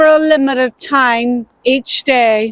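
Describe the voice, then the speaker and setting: In a Belfast accent, the speaker keeps a fairly even intonation, with a dry, close sound with no echo. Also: woman. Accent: Belfast Northern Irish. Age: 70s. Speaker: poet. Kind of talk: poetry reading; spoken tribute. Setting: outdoors.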